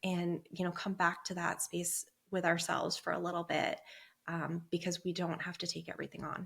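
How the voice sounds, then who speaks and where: Her pitch fairly low, a woman talks at a moderate pace with vocal fry and monotone, flat intonation. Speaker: perinatal therapist. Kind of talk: interview. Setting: podcast.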